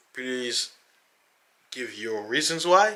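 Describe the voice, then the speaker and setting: At a moderate pace, a man talks with an animated tone. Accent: African. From Africa. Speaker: religious YouTuber. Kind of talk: casual monologue to camera.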